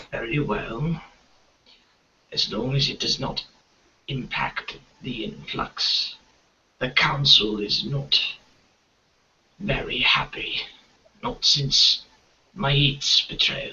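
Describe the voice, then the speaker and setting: Whispering in a put-on character voice, a man goes at a very slow pace with long, frequent pauses. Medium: actual play. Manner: whispering, secretive.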